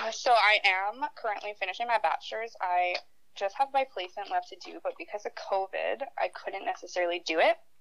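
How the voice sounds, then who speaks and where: With a Canadian accent, a woman talks at a fairly quick pace in a fairly high pitch, with lively intonation, big swings in loudness and an unremarkable speaking voice. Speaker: university student. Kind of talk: casual chat.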